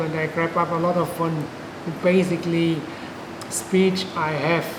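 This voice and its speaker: A man with a German accent and a high pitch speaks at a fairly slow pace, with audible room echo and noticeable background noise. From Germany. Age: 50s. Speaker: patient. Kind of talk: testimony. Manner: halting.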